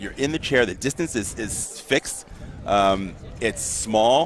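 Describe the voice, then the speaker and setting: A man is speaking. His pitch sits in the middle range. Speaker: wheelchair fencing commentator, former fencer. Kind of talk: live sports commentary. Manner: fast.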